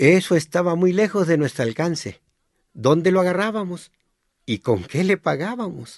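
A man talks at a fairly slow pace, his pitch high and his intonation lively. The background is quiet. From Sinaloa, Mexico (rural northwest). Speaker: memoir author and narrator. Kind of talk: scripted narration.

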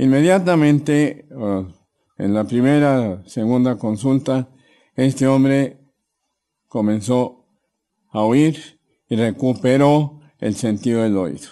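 With a dark, mellow tone, a man talks at a very slow pace, his medium pitch showing ordinary variation. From Mexico City. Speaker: chiropractor. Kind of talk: interview. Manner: hesitant, with fillers.

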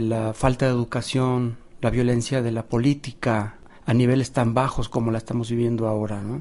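With a Mexican accent, a man speaks fairly quickly in a monotone, flat intonation, his medium pitch carrying a dark, mellow tone. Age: 50s. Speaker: visual artist. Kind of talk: documentary interview.

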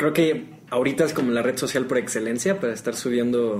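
Noticeable background noise runs through the clip. A man speaks at a fairly slow pace. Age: young. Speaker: guitarist. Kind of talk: casual chat. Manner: halting.

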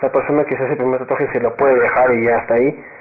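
Noticeable background noise sits behind a man talking at a very fast pace. His intonation stays fairly even. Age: 20s. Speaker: university student. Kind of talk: casual interview. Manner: halting.

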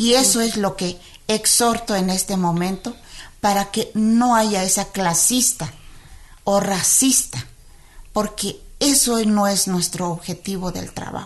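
A woman with a Chiapas accent, medium pitch, ordinary pitch variation and a very slow pace, against a quiet background. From Tenejapa, Chiapas, Mexico. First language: Tzeltal (speaking Spanish). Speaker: midwife and spokeswoman. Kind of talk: interview. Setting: radio studio.

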